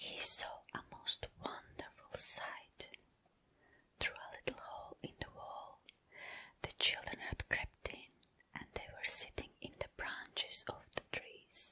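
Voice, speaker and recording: Someone whispers at a very slow pace. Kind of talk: read story. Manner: whispered, soft-spoken.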